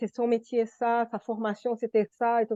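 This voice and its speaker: A woman with a non-native accent speaks fairly slowly at a fairly high pitch in a dark, mellow tone. The sound is dry and close with no echo, against a quiet background. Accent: foreign accent in French. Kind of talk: group study discussion. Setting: video call.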